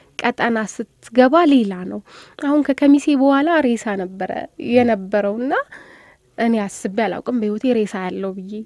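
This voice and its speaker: A woman with an unremarkable speaking voice talks at a fairly high pitch with ordinary pitch variation and big swings in loudness, in a dry sound with no echo against a quiet background. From Addis Ababa, Ethiopia. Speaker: volunteer and journalism student. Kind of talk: radio interview. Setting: studio. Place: studio.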